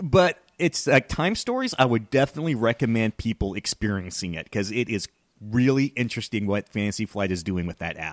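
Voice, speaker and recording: A man with a plain, everyday voice talks at a fairly quick pace and medium pitch, with lively intonation, hardly any pauses and a dry, close sound with no echo. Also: very clean recording, silent background. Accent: American. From Texas. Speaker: board game podcast co-host. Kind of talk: casual chat.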